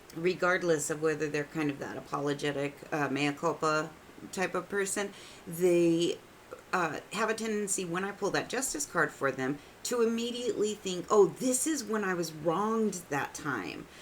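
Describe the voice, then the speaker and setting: At a moderate pace, a woman with an unremarkable speaking voice and a fairly low pitch talks with lively intonation. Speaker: tarot reader. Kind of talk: casual talk to camera. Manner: chatty, irreverent.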